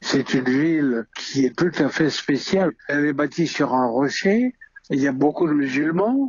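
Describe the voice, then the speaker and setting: Speech comes very slowly. The pitch varies in an ordinary way. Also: man. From Algeria, Algiers. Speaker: music arranger. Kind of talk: interview.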